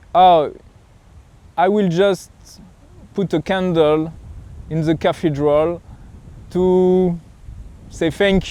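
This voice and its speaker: A man with a French accent at a very slow pace, his intonation fairly even. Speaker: pilgrim vlogger and coach. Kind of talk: reflective vlog monologue. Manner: halting, searching for words.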